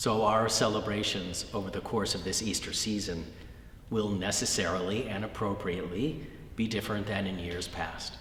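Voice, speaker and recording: Noticeable background noise runs under this recording. A man with a fairly low pitch and an American accent talks at a moderate pace with fairly even intonation. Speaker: Episcopal bishop. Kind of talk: Easter sermon message.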